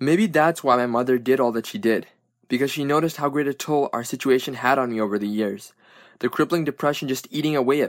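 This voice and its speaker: A man with an ordinary speaking voice talks at a fairly quick pace, using a medium pitch and ordinary pitch variation. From Brooklyn, New York. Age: 20s. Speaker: student author. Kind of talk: reading aloud.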